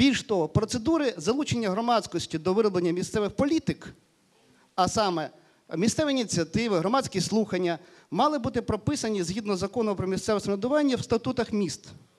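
Against a quiet background, a man talks at a very fast pace. His pitch is high. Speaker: panelist on local self-government. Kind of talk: panel discussion. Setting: stage with audience. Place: hall. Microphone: handheld.

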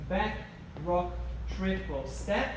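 Strong room echo fills the recording, along with noticeable background noise. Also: man. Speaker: dance instructor. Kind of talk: tutorial. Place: hall.

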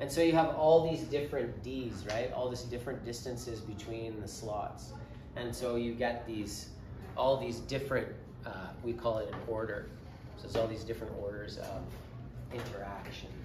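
Noticeable background noise sits under a man speaking at a moderate pace with ordinary pitch variation. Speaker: physics teacher. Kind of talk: lecture. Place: classroom.

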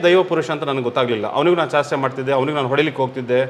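Noticeable background noise fills the recording. Through it, a man speaks. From coastal Karnataka roots (Mangalore side), raised in Theerthahalli, Shivamogga. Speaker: temple priest. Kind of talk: interview. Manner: halting.

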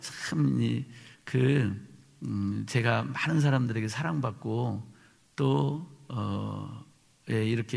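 Speaking at a very slow pace, a man has a somewhat breathy voice. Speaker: pastor preaching. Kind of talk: sermon. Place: church. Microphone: podium.

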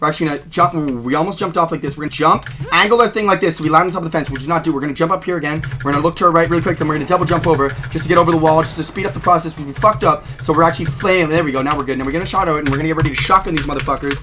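Noticeable background noise sits under a man talking at a very fast pace. His pitch varies in an ordinary way. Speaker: gaming streamer. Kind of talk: live gameplay commentary, play-by-play. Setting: playing a video game, streaming. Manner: fast, rapid-fire talker narrating every move; hyped, excitable, profane and loud. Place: home room.

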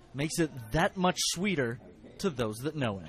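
With very wide pitch swings, a man speaks at a moderate pace. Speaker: TV news reporter. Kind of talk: TV news package narration.

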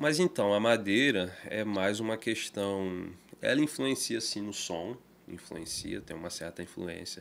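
A man's fairly low voice with ordinary pitch variation, delivered at a fairly slow pace. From Brazil, Campos (Rio de Janeiro state); Rio de Janeiro state, Brazil. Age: 20s. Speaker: guitar maker; podcast guest. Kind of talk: casual interview chat. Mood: relaxed storytelling. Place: studio. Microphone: studio mic.

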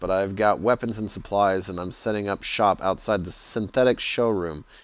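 A man talks at a moderate pace in a fairly low pitch, with fairly even intonation and an ordinary speaking voice. The sound is dry, with no echo. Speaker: game streamer. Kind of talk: commentary, reading game text aloud. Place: home room.

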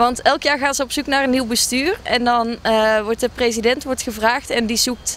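With a normal speaking voice, a woman talks at a moderate pace and fairly high pitch, her intonation fairly even, the sound dry with no echo and light background noise. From Brabant, Netherlands. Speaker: student association board member. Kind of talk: interview. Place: waterside. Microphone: handheld.

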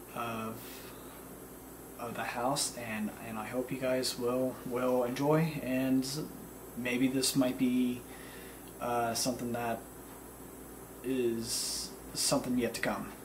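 Against noticeable background noise, a man speaks in a monotone, flat intonation at a very slow pace with long, frequent pauses. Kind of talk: casual vlog chat. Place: home room. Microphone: camera far.

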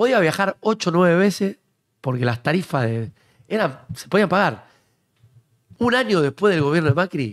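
Speaking at a moderate pace in a Rioplatense accent, a man with a high pitch makes very wide pitch swings against a quiet background. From Argentina. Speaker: political talk show host. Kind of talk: casual chat. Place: studio. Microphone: studio mic.

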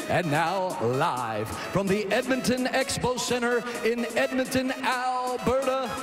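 Clear music plays in the background as a man speaks with lively intonation. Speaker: ring announcer. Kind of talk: live MMA cage announcing. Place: stadium. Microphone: handheld.

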